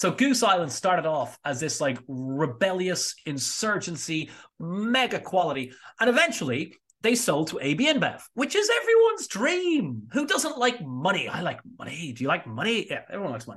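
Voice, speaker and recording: A man's high-pitched, animated voice with an Irish accent, very wide pitch swings and a moderate pace, over a quiet background. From Ireland, small seaside town north of Dublin. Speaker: spirits educator and distiller. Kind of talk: casual interview chat.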